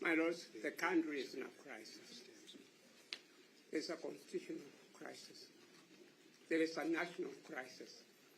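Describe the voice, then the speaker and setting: A man speaks at a moderate pace with big swings in loudness and long, frequent pauses, and room echo can be heard. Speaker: senior advocate. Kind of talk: court submission. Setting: courtroom. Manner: formal.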